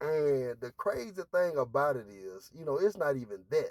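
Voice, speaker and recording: A man talks with ordinary pitch variation. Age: 40s. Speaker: vlogger. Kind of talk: casual monologue. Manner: halting.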